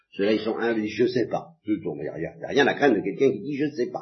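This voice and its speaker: Vocal fry runs through a man's voice. He talks at a very fast pace. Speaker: priest giving religious instruction. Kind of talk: lecture. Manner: halting.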